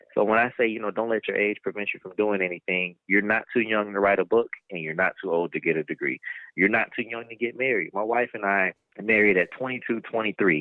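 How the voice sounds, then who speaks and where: A man talks at a fairly quick pace in a fairly low pitch, with ordinary pitch variation and an ordinary speaking voice. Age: 20s. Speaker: author and inspirational speaker. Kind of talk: casual interview chat.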